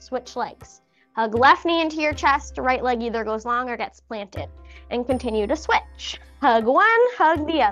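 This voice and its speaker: A woman's high-pitched voice at a moderate pace, with ordinary pitch variation and faint music in the background. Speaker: fitness instructor. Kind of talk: exercise class instruction. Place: empty room.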